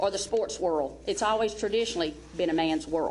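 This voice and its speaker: A woman's lively, medium-pitched voice in a Southern US accent at a fairly quick pace. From US South. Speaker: basketball coach. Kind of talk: speech introducing a speaker. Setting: seminar with audience. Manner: animated.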